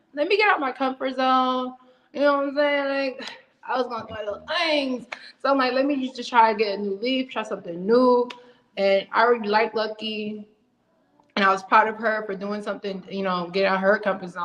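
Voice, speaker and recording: A woman with an American accent speaks in an ordinary speaking voice at a fairly high pitch. She talks at a fairly quick pace with ordinary pitch variation. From Ohio, Cleveland. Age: 20s. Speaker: reality TV contestant, rapper, college student. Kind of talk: casual interview.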